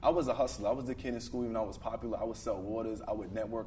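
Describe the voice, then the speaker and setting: A man with a Brooklyn accent speaks amid audible room echo. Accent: Brooklyn New York. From Brooklyn, New York. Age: 20s. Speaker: car dealership owner, entrepreneur. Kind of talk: podcast interview. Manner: fluent, talkative.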